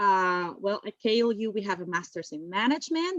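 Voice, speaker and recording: Recorded with a dry, close sound and no echo, a woman with a Spanish accent speaks at a moderate pace. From Spain. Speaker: university admissions officer. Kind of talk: webinar presentation.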